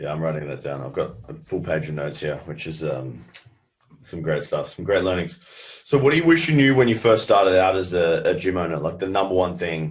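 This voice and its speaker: In an Australian accent, a man with a very deep, low voice talks at a fairly quick pace with lively intonation and big swings in loudness, in a room with audible echo. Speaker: podcast host, gym owner. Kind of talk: interview.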